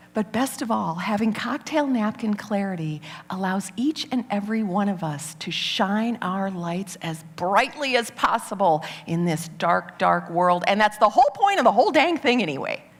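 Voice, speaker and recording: A woman with an American accent speaks in an animated tone, her intonation lively and hardly any pauses between words. Noticeable background noise runs under her voice. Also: medium pitch for a woman, moderate pace. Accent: Midwest, stronger when excited. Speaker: business speaker. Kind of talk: TEDx talk. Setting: stage with audience.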